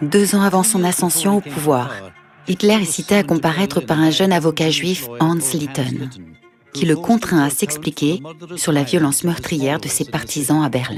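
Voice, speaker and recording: Music plays in the background as a woman speaks at a moderate pace. Her very deep, low voice shows ordinary pitch variation. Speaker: voice actor. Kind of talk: documentary narration.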